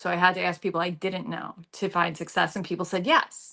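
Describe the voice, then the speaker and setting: In an American accent, a woman talks at a fairly quick pace with a medium pitch, a bright, sharp tone and fairly even intonation against a quiet background. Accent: slight South Jersey, mostly trained out. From South Jersey, US. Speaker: news anchor. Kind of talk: casual podcast interview.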